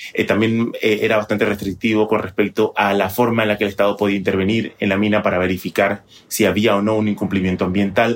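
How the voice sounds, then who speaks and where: A man at a fairly low pitch and very fast pace, hardly any pauses, very even loudness, and monotone, flat intonation. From Panama. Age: 30s. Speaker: TV journalist. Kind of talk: interview.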